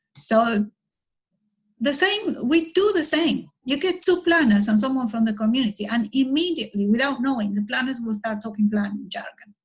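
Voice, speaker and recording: A woman with a Spanish accent, high in pitch, with lively intonation at a moderate pace. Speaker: architect and urban planner. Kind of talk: conversational interview.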